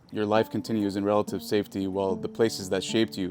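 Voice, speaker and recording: Music plays behind a man speaking at a very fast pace. His fairly low voice stays monotone and flat. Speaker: spoken word poet. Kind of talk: spoken word poetry performance.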